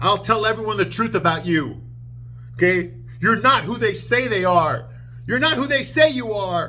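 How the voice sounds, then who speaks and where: In a put-on character voice, a man speaks at a moderate pace and a high pitch over clear background noise. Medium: solo performance. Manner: emotional, exclamatory.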